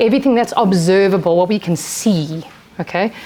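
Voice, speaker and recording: Loud and at a fairly quick pace, a woman speaks. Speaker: behaviour analyst. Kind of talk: seminar presentation. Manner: fast.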